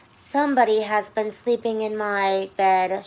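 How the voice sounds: This is a put-on character voice that sounds female, with a medium pitch. It growls at a moderate pace.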